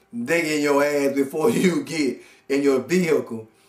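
The man here speaks at a fairly slow pace. The background is quiet, though the room's echo can be heard. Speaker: comedian. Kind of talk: comedic monologue rant. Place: home room. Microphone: camera far.

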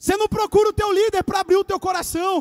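A loud, animated man talking at a very fast pace in an extremely high pitch, against a quiet background. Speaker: youth pastor preacher. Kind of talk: sermon to a live church congregation, with call-and-response. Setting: church with live audience. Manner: animated, loud, exhorting the crowd with urgent repeated commands; conversational and joking, with a casual youthful tone. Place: church. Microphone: handheld.

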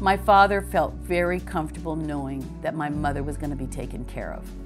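Over clear background music, a woman speaks at a fairly quick pace with big swings in loudness. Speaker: clergy's child. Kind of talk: interview answer. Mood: warm, fond remembering. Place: home room.

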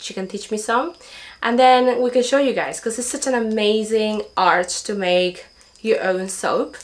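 Moderately paced speech from a woman, with ordinary pitch variation. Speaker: homesteading vlogger. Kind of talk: casual vlog chat. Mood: cheerful, grateful. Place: home room. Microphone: camera far.

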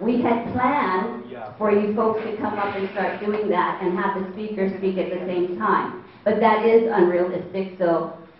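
A woman talks at a fairly slow pace with ordinary pitch variation. There is audible room echo and light background noise. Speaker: meeting facilitator. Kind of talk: instructions to an audience. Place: hall. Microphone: handheld.

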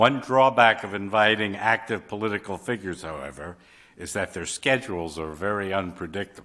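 A man's fairly low voice with a bright, sharp tone, a fairly quick pace and ordinary pitch variation. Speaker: journal editor and moderator. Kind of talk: event moderation. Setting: stage with audience. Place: hall. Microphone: podium.

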